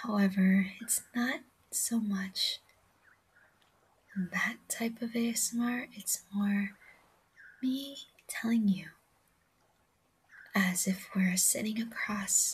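A woman speaks at a medium pitch with fairly even intonation and a husky, rough edge. Her pauses are long and frequent.

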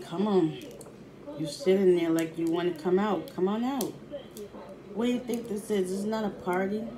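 A woman at a moderate pace with long, frequent pauses and ordinary pitch variation, noticeable background noise behind her. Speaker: food vlogger. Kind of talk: casual mukbang vlog chat. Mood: playful, pleased. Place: home room. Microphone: phone near.

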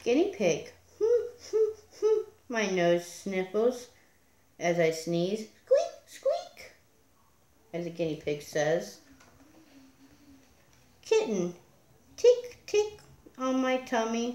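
Long, frequent pauses break up a woman's very slow speech. Her words carry audible room echo. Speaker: storyteller. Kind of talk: read story. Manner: soft-spoken. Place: home room. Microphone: phone near.

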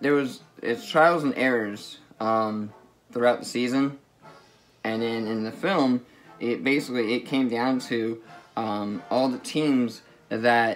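Very slow delivery with fairly even intonation, faint music in the background. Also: man. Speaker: anime reviewer. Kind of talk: casual vlog chat. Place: home room. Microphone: phone near.

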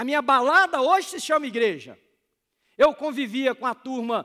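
With a bright, sharp tone, a man projects a raised voice at a moderate pace with ordinary pitch variation against a quiet background. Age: 40s. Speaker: pastor. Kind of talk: sermon.

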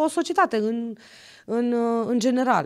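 A woman talks with very wide pitch swings. The background is quiet. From Romania, Sibiu county; Romania. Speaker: county councillor and university assistant; county councillor. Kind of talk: podcast interview. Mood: earnest, moralizing tone. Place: studio. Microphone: studio mic.

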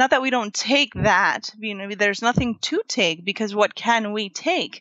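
Fairly high female voice, fairly slow delivery, pitch shifting in a typical way. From Florida, Puerto Rican family. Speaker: writer and tarot reader. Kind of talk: interview conversation. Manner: halting, many fillers.

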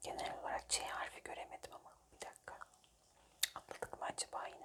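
A woman whispers at a fairly quick pace. Noticeable background noise is present. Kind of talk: ASMR whisper word-search puzzle with gum chewing. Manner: whispered.

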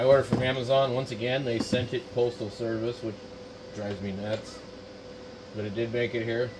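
Over clear background noise, a man talks at a moderate pace with little pitch movement. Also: medium pitch for a man.

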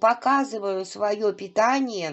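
Speaking very slowly, a woman uses a fairly high pitch with ordinary pitch variation. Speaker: vlogger; home cooking vlogger. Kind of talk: casual vlog talk while cooking. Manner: chatty, with many hesitations. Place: kitchen. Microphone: phone near.

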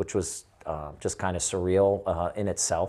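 A man's fairly low, dark and mellow voice in a monotone, flat delivery over a quiet background. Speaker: witness. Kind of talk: interview answer. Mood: serious, recounting a shocking event. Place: home room. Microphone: lapel.

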